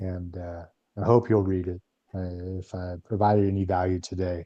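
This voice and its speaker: A man's very deep, low voice at a moderate pace, in a flat, monotone intonation. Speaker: guest speaker at a spiritual fellowship. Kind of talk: talk to a congregation.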